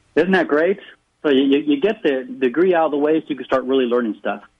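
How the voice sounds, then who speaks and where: With a fairly high pitch and ordinary pitch variation, a man speaks in a plain, everyday voice. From United States, raised in several states and military schools abroad. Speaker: financial advisor and author. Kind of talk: radio interview. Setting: phone call.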